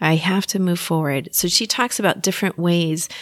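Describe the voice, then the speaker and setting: A woman speaks at a moderate pace with a warm tone and an American accent, her pitch fairly low and her intonation fairly even, in a very clean recording with a silent background and a dry, close sound with no echo. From Texas. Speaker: therapist and hypnotist podcast host. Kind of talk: solo educational podcast talk. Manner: warm, laughs often.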